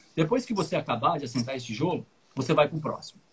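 Speaking in a fairly high voice, a man rattles along at a very fast pace. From Paraná, Brazil. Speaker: English teacher and podcast host. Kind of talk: casual chat.

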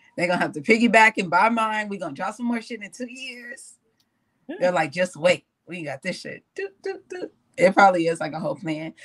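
A woman speaks in a normal speaking voice at a medium pitch. Her intonation is lively, with big swings in loudness. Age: 20s. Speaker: podcast panelist. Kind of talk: casual chat.

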